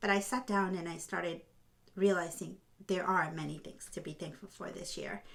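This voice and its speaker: A woman speaks at a moderate pace with a fairly low pitch, vocal fry, and fairly even intonation. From Honduras. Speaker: podcast host and film producer. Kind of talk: heartfelt vlog talk.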